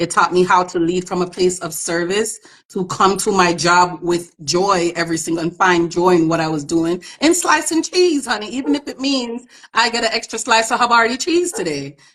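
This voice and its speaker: A woman speaks at a moderate pace in a medium pitch, her tone animated and her intonation lively. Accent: Jamaican. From Jamaica. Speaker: immigration attorney. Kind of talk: interview chat. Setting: live stream on social media. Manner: informal.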